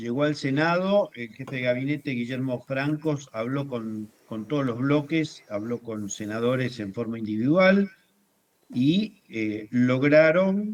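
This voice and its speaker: A man's medium-pitched voice with lively intonation, at a very slow pace. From Argentina. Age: 70s. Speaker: journalist, writer, former political prisoner. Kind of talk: interview.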